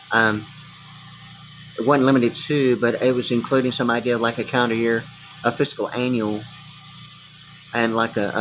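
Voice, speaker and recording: Over noticeable background noise, a man talks at a fairly quick pace in a monotone with flat intonation, leaving long, frequent pauses. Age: 60s. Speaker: video blogger. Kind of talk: rambling monologue. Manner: halting, many fillers and repetitions.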